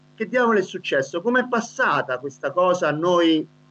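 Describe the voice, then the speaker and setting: At a moderate pace, a man speaks in a high pitch with lively intonation. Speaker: basketball coach and co-host; basketball coach, co-host. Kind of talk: interview. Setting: video call. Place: home room. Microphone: video call.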